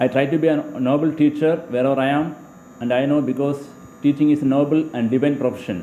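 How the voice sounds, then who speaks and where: Talking very fast with a Keralan accent, a man holds a fairly high pitch, fairly even intonation and very even loudness over noticeable background noise. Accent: Indian English (Malayali). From Kerala, India. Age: 30s. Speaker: teacher. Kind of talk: job application self-introduction. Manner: halting, with repetitions.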